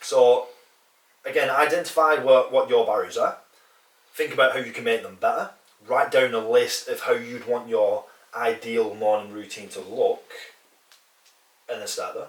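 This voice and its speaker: A man with a northern English accent speaks with long, frequent pauses and big swings in loudness. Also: moderate pace. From northern England. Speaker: fitness coach and podcast co-host. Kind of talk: casual podcast chat.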